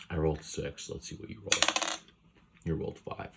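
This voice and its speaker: A soft-spoken man at a moderate pace, with noticeable background noise. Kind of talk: ASMR video.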